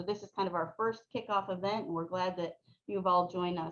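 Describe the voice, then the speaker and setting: A woman speaks in an ordinary speaking voice with fairly even intonation. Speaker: panel moderator. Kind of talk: webinar panel moderation.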